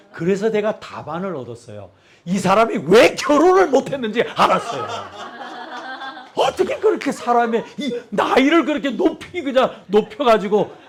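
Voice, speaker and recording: Over noticeable background noise, a man speaks fairly slowly in a high voice with very wide pitch swings, big swings in loudness and long, frequent pauses. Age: 60s. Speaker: pastor. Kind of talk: sermon. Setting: church.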